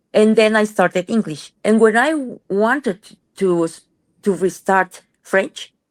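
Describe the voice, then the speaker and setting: Fairly high female voice in a Spanish accent, fairly slow with long, frequent pauses, ordinary pitch variation and a dry, close sound with no echo. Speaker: rheumatologist. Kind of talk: casual interview.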